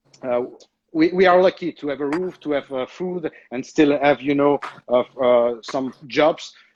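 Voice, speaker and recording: A man speaks with an Italian accent at a moderate pace. The sound is dry and close, with no echo. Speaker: chef. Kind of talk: cooking segment on video call. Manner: halting, many hesitations.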